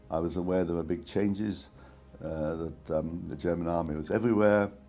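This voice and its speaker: With music in the background and audible room echo, a man talks fairly quickly in a very deep, low pitch with fairly even intonation. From Czechoslovakia (Prague). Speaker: Holocaust survivor. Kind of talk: testimony. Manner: halting.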